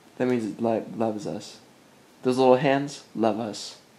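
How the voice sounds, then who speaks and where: Man's voice with ordinary pitch variation amid noticeable background noise. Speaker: vlogger and music producer. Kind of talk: casual vlog chat. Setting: at home. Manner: mumbling; halting, many fillers.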